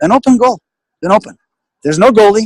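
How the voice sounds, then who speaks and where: Very fast and with lively intonation, a man with a high pitch speaks in a dry, close sound with no echo. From Greece, Athens. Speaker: business guest speaker. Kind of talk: webinar interview. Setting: online webinar call.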